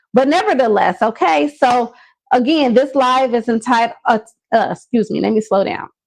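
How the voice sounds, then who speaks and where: Lively intonation marks a woman's high voice as she talks at a moderate speed. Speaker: business coach. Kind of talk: live stream motivational talk. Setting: Facebook Live video. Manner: stumbling over words.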